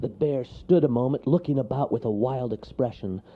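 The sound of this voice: An unforced reading voice, its pitch moving in an ordinary way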